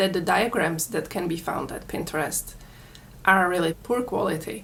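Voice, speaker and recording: A woman speaks with a Czech accent at a moderate pace. There is audible room echo. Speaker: crochet tutorial maker. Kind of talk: tutorial.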